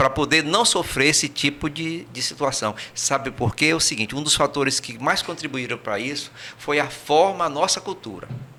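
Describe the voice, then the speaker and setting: With a Brazilian accent, a man speaks at a moderate pace with hardly any pauses, using a fairly high pitch and ordinary pitch variation. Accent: Brazilian Portuguese, kept. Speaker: emigrant returned from Portugal. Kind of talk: podcast interview. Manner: hesitant, repeats words.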